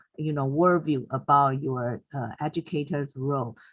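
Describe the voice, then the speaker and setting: Against a quiet background, a woman speaks with a Mandarin accent. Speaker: teacher. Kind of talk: webinar comment. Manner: halting, many fillers.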